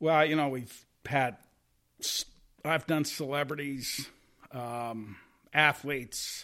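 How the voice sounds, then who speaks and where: A man's bright, sharp tone at a very slow pace, with fairly even intonation and long, frequent pauses, in a very clean recording against a silent background. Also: fairly high pitch for a man. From US Midwest. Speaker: golf caddie. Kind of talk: casual chat.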